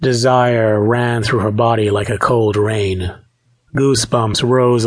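Quiet surroundings and an unforced reading voice with fairly even intonation

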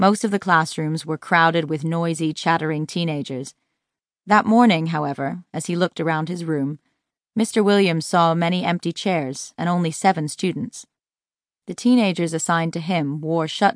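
A woman's normal speaking voice, fairly low in pitch, at a moderate pace, with a dry, close sound with no echo and a quiet background. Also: ordinary pitch variation. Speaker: audiobook narrator. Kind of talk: audiobook reading, scripted narration of nonfiction. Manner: measured, even storytelling pace.

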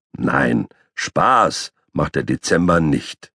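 A put-on character voice from a man, raspy and very deep, delivered very slowly in a dry, close sound with no echo. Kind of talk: children's audiobook narration. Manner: pompous, grumbling.

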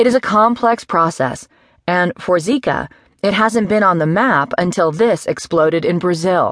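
A woman with a normal speaking voice talks at a moderate pace and medium pitch. Her intonation is lively, and the sound is dry and close with no echo. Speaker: audiobook narrator. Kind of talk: news article read aloud, formal newsreading. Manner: formal; measured, even-paced and neutral.

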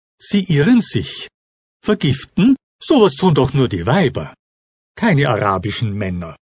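Recorded with a dry, close sound and no echo, a man with a fairly high pitch and vocal fry swings very widely in pitch and leaves long, frequent pauses. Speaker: audiobook narrator. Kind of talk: dramatic audiobook narration, first-person. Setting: audiobook recording. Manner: intense, emotionally charged.

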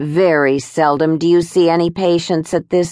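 A woman with a plain, everyday voice speaks fairly slowly at a fairly low pitch. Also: quiet background. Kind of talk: audiobook reading of a first-person memoir story. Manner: warm, measured storytelling pace, with shifts in tone for quoted dialogue.

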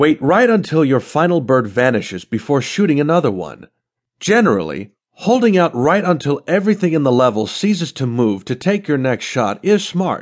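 A man's fairly high voice at a moderate pace, with very wide pitch swings over a quiet background. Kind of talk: audiobook narration of a how-to strategy guide. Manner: clear, even, instructional delivery.

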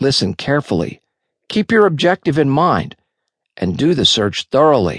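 A fairly high-pitched man speaks at a moderate pace with vocal fry, very wide pitch swings and long, frequent pauses. The sound is dry and close, with no echo. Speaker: audiobook narrator. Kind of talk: audiobook reading of a self-help guide, scripted narration. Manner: clear, even, instructional.

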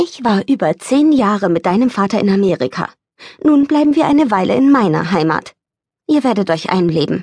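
A strained, put-on character voice with very wide pitch swings at a moderate pace. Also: female-sounding voice, medium pitch for a woman. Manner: tired, strained.

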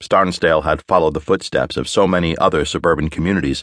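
A man with a very deep, low voice and vocal fry talks at a fairly quick pace in a dramatic tone, the sound dry and close with no echo. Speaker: audiobook narrator. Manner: slips into gang-member swagger and a tense, clipped Hawker in the dialogue.

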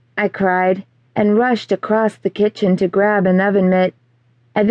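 The speaker uses an unforced reading voice. That reading voice carries the whole clip.

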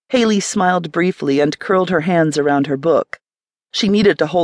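Plain reading aloud comes through over a quiet background.

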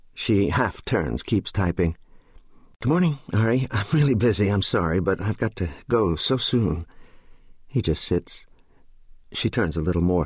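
Fairly low in pitch, a man speaks at a moderate pace with lively intonation and very even loudness. Long, frequent pauses break up his speech. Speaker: audiobook narrator. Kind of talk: audiobook narration, unabridged fiction read aloud with character voices. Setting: studio. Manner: shifts between characters, voicing a child, a mother and a father distinctly; measured, descriptive pacing with pauses between narration and dialogue.

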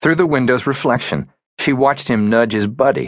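A man talks at a medium pitch. His voice carries vocal fry. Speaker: audiobook narrator. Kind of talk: dramatic audiobook narration of a thriller. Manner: tense, suspenseful, with voiced character dialogue.

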